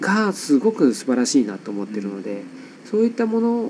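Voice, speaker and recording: A man's voice with very wide pitch swings. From Nagasaki, Japan. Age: 30s. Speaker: photographer. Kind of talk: casual interview chat. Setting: home studio in an old house.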